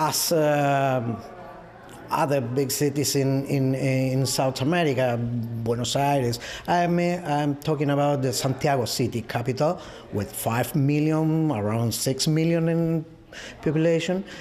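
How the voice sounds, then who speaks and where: Over music in the background, a man talks in a fairly high pitch. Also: ordinary pitch variation, fairly slow pace. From Chile, Central Valley. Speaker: tourism professional. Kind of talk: interview. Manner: halting.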